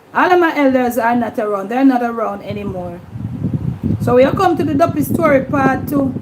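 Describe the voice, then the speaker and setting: A woman in a Jamaican accent, lively intonation, moderate pace, noticeable background noise. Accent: Jamaican patois. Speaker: YouTube livestream host. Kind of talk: casual livestream chat.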